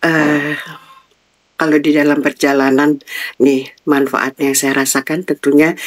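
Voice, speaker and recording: A woman's very deep, low-pitched voice in a dry, close recording with no echo. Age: 60s. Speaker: retired civil servant. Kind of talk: interview.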